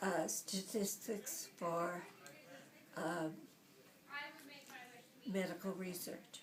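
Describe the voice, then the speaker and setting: With an American accent, the speaker goes at a very slow pace with long, frequent pauses and fairly even intonation, over noticeable background noise. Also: woman, medium pitch for a woman. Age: 80s+. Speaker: retired computer pioneer. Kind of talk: interview answer.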